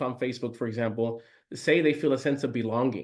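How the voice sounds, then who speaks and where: An energetic tone from a man speaking at a very fast pace. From Puerto Rico. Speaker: real estate agent. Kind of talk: training presentation.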